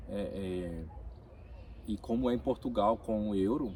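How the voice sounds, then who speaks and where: With vocal fry and a dark, mellow tone, the voice moves through lively intonation. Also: man. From Brazil, Minas Gerais (Ipatinga), born in Rio de Janeiro. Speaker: immigrant worker. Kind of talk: interview. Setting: in-person conversation in Vilamoura.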